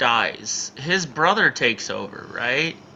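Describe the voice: With a bright, sharp tone, a man speaks at a slow pace.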